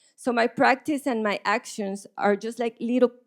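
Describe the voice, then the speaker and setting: With a Spanish accent, a woman speaks at a fairly slow pace in a dry, close sound with no echo on a very clean recording with a silent background. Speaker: visual artist. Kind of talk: panel conversation. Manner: halting, many repetitions.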